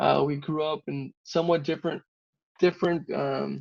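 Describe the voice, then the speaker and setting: A fairly high-pitched male voice in a Spanish accent. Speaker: civil engineer. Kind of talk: interview.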